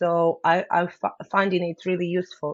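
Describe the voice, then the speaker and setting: A woman speaks with a Ukrainian accent. Her pace is fairly slow. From Ukraine. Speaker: business owner. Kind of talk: interview. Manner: halting.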